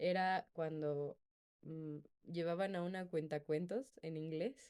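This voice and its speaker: A woman's voice carries a dark, mellow tone. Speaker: podcast co-host. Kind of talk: casual chat.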